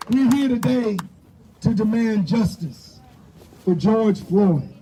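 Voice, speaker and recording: Against noticeable background noise, a man speaks at a very slow pace in a high pitch with lively intonation. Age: 60s. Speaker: rally speaker. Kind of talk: protest speech. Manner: impassioned, repetitive emphasis.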